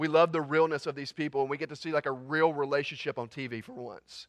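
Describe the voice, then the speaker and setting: In a dry, close recording with no echo and a quiet background, a man with an unremarkable speaking voice talks at a fairly high pitch and a fairly quick pace. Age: 20s. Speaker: student pastor. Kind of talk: sermon.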